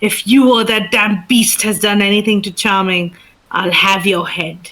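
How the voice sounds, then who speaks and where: Doing a put-on character voice, a woman hisses in an angry tone at a medium pitch and a moderate pace, with fairly even intonation. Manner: hissing, angry, threatening.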